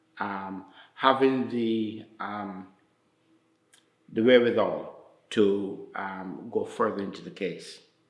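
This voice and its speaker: With big swings in loudness, a man with a fairly low voice speaks very slowly, pausing long and often, in a room with audible echo. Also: fairly even intonation. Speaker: community elder. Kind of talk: interview testimony. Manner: halting, many fillers.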